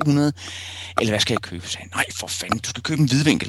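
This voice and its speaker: The man's pitch shifts in an ordinary way. He keeps a moderate pace. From Copenhagen area, Denmark (Rødovre). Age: 40s. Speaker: photojournalist. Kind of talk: interview. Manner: hesitant, many fillers.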